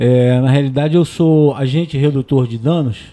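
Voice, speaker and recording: A man's fairly high-pitched voice in a dark, mellow tone, with fairly even intonation. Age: 50s. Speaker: harm reduction agent. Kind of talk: talk show interview.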